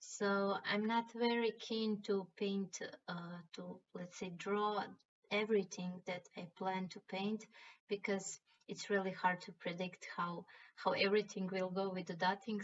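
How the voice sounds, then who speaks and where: Speaking with a Croatian accent, a woman talks at a fairly slow pace in a monotone, flat intonation. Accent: Croatian accent (self-described as bad). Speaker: rock painting artist. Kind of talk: tutorial. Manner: hesitant, with fillers and restarts.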